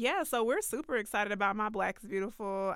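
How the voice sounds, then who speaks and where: Against a very clean recording with a silent background, a woman with an American accent speaks in an ordinary speaking voice at a fairly quick pace, her medium pitch following fairly even intonation. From US South, Atlanta. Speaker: brand manager. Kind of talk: podcast interview.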